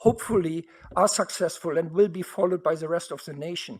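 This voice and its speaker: A man speaks with a German accent at a fairly quick pace. His pitch is high, with ordinary variation. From Germany. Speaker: university board trustee. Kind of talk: board meeting statement. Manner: animated.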